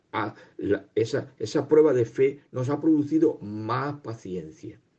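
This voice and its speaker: A man talks at a fairly high pitch. Vocal fry runs through his voice. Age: 60s. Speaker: lay preacher. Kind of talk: sermon.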